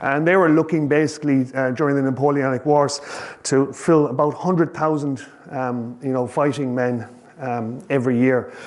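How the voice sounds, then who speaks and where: With a Kerry accent, a man talks at a moderate pace in a fairly high pitch, his intonation fairly even, over noticeable background noise. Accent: Irish (Kerry). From Ireland, County Kerry. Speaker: professional ocean sailor and author. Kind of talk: public talk to an audience. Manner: casual, hesitant, many fillers.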